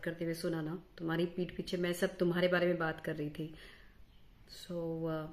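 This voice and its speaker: This woman's pitch is fairly low. She speaks at a fairly slow pace. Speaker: comic sketch performer. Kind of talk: scripted comic monologue to camera. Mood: sarcastic, mocking. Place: home room. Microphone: phone near.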